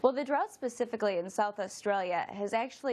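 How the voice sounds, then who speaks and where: A woman with a Florida accent speaks at a fairly quick pace and a medium pitch. The background is quiet. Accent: American (Florida). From US, Florida. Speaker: meteorologist. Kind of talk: TV weather interview.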